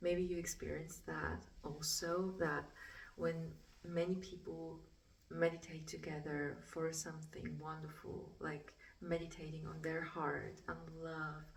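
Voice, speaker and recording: With a non-native accent, a woman speaks at a fairly slow pace in a room with audible echo. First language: German. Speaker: spiritual artist. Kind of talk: casual vlog talk. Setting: art studio. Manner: halting.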